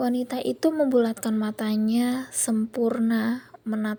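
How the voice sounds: Fairly even intonation in a natural reading voice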